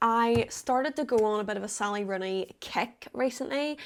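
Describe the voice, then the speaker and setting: On a very clean recording with a silent background, a woman speaks in an Irish accent with a fairly high pitch. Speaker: artist and vlogger. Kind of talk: casual vlog chat. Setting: bedroom. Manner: chatty, rambling fast.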